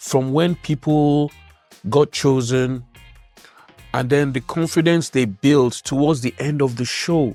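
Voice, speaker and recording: A man with a Nigerian accent talks at a very slow pace with long, frequent pauses, his fairly high pitch carried on fairly even intonation over music in the background. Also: dry, close sound with no echo. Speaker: spoken word poet. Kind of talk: interview answer.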